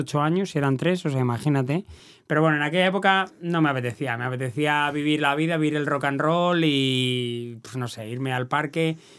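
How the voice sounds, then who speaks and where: On a very clean recording with a silent background, a man talks fairly quickly in a plain, everyday voice, his fairly high pitch moving with ordinary variation. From Valladolid, Spain. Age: 50s. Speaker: race announcer. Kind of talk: casual chat.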